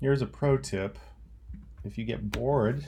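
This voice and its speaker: This man talks at a fairly slow pace with a dark, mellow tone and some vocal fry. His pitch swings very widely. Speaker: teacher. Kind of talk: tutorial. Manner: casual.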